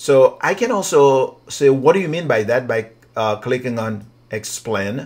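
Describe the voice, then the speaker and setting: A man talks with a non-native accent at a medium pitch. His intonation is lively and his pace fairly slow. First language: not English. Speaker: writing coach. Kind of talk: software tutorial. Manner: casual, hesitant.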